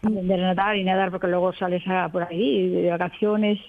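Talking at a fairly quick pace, a woman with a medium pitch and ordinary pitch variation is heard against noticeable background noise. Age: 70s. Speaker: retiree learning to ride a bike. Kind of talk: radio interview.

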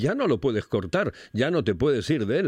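Here a man is speaking. His pace is fairly quick. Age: 60s. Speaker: radio host. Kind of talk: casual chat.

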